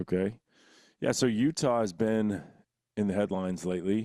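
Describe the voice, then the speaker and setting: On a very clean recording with a silent background, a man with an American accent speaks in a dark, mellow tone with ordinary pitch variation. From Texas. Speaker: podcast host. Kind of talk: casual chat.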